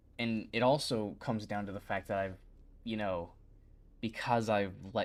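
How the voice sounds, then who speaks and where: On a very clean recording with a silent background, a man speaks quietly at a fairly low pitch. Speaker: YouTube creator streaming. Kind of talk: casual livestream chat.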